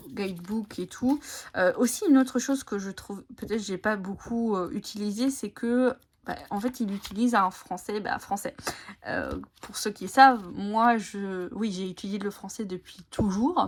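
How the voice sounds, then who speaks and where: The voice is somewhat breathy and moves at a fairly slow pace. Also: woman, medium pitch for a woman, ordinary pitch variation. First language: Italian (speaking French). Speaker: tarot and oracle card content creator. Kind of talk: casual video chat presenting oracle decks. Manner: halting, many hesitations.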